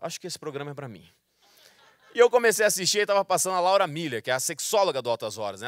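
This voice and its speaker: The sound is dry with no echo, against a quiet background. A man with a high pitch speaks, swinging his pitch very widely. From Mato Grosso, Brazil. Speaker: stand-up comedian. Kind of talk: stand-up comedy routine. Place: stage. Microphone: handheld.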